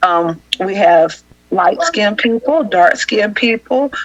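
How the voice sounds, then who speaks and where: A woman with a Southern US accent speaks at a moderate pace, her pitch swinging very widely. Noticeable background noise runs under her voice. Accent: Southern country dialect. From US South, Augusta, Georgia. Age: 30s. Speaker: housing assistance worker. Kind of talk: podcast interview.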